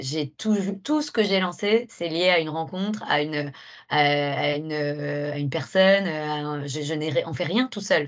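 This woman's voice sits at a very deep, low pitch with ordinary pitch variation. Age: 30s. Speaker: entrepreneur. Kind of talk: interview. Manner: halting.

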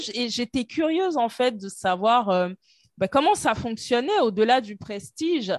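With very wide pitch swings, a woman speaks at a fairly high pitch and a fairly slow pace. The sound is dry and close, with no echo. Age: 30s. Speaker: internal auditor and entrepreneur. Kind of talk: casual interview.

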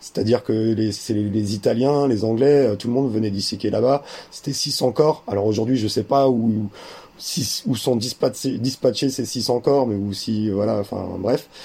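A man talks at a fairly slow pace. His pitch sits in the medium range with fairly even intonation. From France, German mother and Algerian father. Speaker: 3D artist and documentary maker. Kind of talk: interview. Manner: halting, many repetitions.

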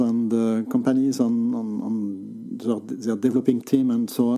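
Speech unfolds at a fairly slow pace. The pitch varies in an ordinary way. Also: man. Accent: French. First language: French. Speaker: tech journalist. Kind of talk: interview. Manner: halting.

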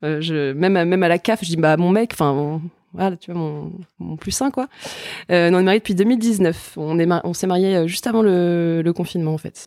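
Speaking at a moderate speed, this voice shows ordinary variation in pitch. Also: woman, fairly low pitch for a woman. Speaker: journalist and novelist. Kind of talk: casual chat. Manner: halting.

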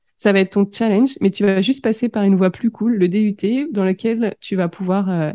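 An ordinary speaking voice from a woman, medium in pitch, at a moderate pace. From France, Seine-et-Marne. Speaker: business coach. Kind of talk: interview.

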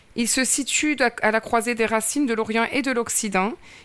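A woman speaks fairly slowly in a high pitch with ordinary pitch variation. The recording is very clean, its background silent. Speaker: podcast host. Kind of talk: interview.

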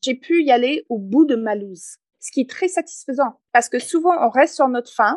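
A woman speaks with an English Canadian accent, her high pitch rising and falling in lively intonation. The sound is dry and close, with no echo. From Canada, English-speaking north. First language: English (speaking French). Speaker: entrepreneur and author. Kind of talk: interview.

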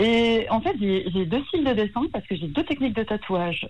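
A woman with a plain, everyday voice and lively intonation. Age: 50s. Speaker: tattoo artist. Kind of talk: radio phone interview. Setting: phone call.

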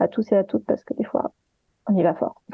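This woman has a normal speaking voice with a fairly high pitch. She talks at a fairly quick pace. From partly Guadeloupe. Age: 30s. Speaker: sensitivity reader and gender stereotypes influencer. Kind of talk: interview.

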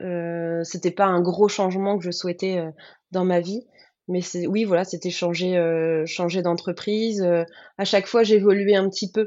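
A woman speaks at a fairly slow pace, her medium-pitched voice keeping a fairly even intonation. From Picardy, France (Baie de Somme, countryside). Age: 30s. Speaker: former lawyer turned freelance florist. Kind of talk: interview testimony.

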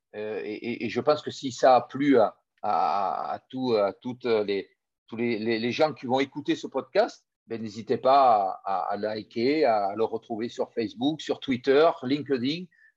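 Over a quiet background, a man with medium pitch talks at a very slow pace. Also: ordinary pitch variation, dry, close sound with no echo. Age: 50s. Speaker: former rugby player turned business coach. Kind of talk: interview. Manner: halting, with many repeated words.

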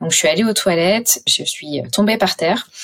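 This woman has a normal speaking voice, pitched in the medium range and moving at a fairly quick pace. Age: 30s. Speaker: patient advocate and entrepreneur. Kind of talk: personal testimony interview.

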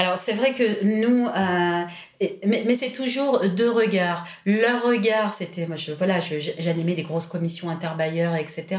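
Speaking at a very slow pace, a woman with a medium pitch is heard amid audible room echo and noticeable background noise. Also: ordinary pitch variation. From southern France, Toulon. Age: 40s. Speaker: education policy director. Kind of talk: interview.

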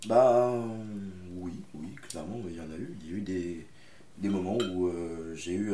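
Over noticeable background noise and audible room echo, a man with a very deep, low pitch talks at a fairly slow pace with ordinary pitch variation. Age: young. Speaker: aspiring actor. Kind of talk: casual chat. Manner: halting.

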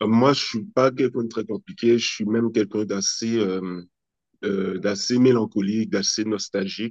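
A man with a normal speaking voice talks at a medium pitch. His pace is fairly slow and his intonation fairly even. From French Antilles (Guadeloupe and Martinique). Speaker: entrepreneur, children's magazine founder. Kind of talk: interview.

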